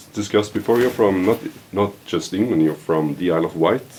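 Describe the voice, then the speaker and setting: A man with a Norwegian accent at a fairly quick pace, amid noticeable background noise. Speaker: podcast host. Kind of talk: casual chat. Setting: shop.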